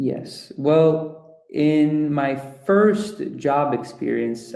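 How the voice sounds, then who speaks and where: Audible room echo surrounds a man with a dark, mellow tone. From Ecuador. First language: Russian or Spanish. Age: 20s. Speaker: project management professional. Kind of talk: guest talk at online webinar. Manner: hesitant, many fillers.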